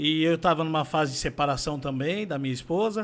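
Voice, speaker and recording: On a very clean recording with a silent background, a man speaks in a normal speaking voice at a fairly high pitch. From São Paulo, Brazil. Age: 60s. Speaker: condominium administrator. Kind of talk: interview testimony.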